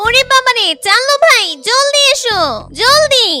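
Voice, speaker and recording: A woman does a cartoonish character voice at an extremely high pitch. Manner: playful, teasing.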